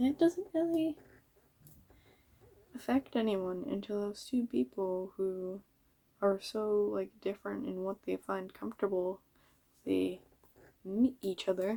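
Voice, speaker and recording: A woman mumbles at a fairly slow pace in a dark, mellow tone, with lively intonation and long, frequent pauses. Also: medium pitch for a woman. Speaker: vlogger. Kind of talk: casual monologue. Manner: mumbling.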